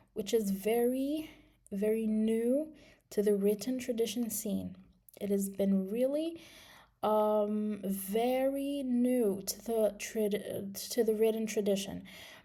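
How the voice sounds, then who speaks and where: Speaking at a very slow pace, a woman has a dark, mellow tone and a fairly high pitch, with audible room echo around her. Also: ordinary pitch variation. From Morocco. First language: Moroccan Arabic (Darija). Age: 20s. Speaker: English teacher. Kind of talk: video presentation. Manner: halting, many fillers.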